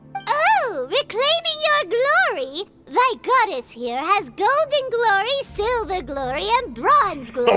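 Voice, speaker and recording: A woman uses a put-on character voice with extremely high pitch and very wide pitch swings. She talks at a fairly slow pace over faint background music. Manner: mock-grandiose.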